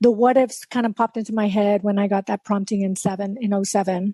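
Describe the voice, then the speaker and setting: A woman's fairly high pitch in a Spanish accent, monotone with flat intonation, dark and mellow in tone, dry and close with no echo, quiet background. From South Texas. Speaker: life coach and keynote speaker. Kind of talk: interview.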